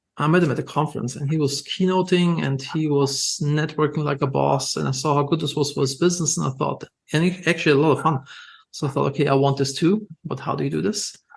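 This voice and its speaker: A man with a German accent talks at a very fast pace in a fairly high, somewhat breathy voice with fairly even intonation. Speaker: entrepreneur. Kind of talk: podcast interview. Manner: casual, filler-heavy.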